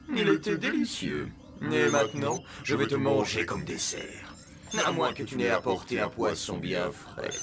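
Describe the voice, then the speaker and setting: Putting on a gruff, menacing character voice at a medium pitch, a man talks at a moderate pace over clear background noise. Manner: menacing, teasing.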